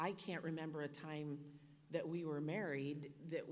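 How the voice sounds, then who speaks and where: A woman speaks in a very deep, low voice, with audible room echo around her. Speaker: donor speaking at a charity dinner. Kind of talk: speech at a fundraising dinner. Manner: loud.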